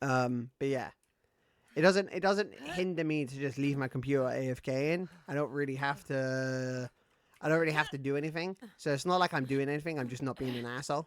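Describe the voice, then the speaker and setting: A man with a British accent speaks at a fairly high pitch. His pace is fairly quick, with ordinary pitch variation. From Britain. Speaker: gaming streamer. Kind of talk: casual live-stream gaming chat.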